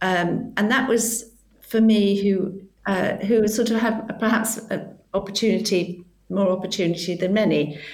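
A woman's plain, everyday voice at medium pitch, moderate in pace, with fairly even intonation and very even loudness. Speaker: platform founder. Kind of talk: interview.

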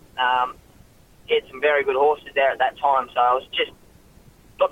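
A man speaks with an Australian accent at a very fast pace. His intonation stays fairly even. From Queensland, Australia (Ipswich). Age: young. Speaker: jockey. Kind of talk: radio interview. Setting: phone line. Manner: halting, many fillers.

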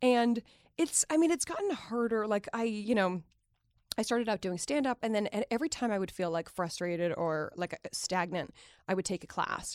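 This woman has a normal speaking voice, fairly high in pitch, with lively intonation at a moderate pace, recorded with a dry, close sound and no echo. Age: 30s. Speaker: stand-up comedian. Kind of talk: casual chat.

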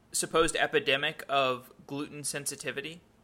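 In a very clean recording with a silent background, a man talks at a moderate pace in a fairly high voice with a bright, sharp tone. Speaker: podcast host. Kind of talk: interview.

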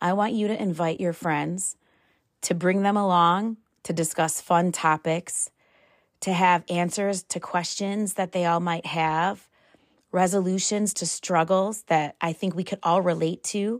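In a very clean recording with a silent background and a dry, close sound with no echo, a woman talks at a fairly slow pace in a plain, everyday voice, fairly low in pitch with ordinary pitch variation. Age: 40s. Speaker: podcast host. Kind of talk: casual solo monologue.

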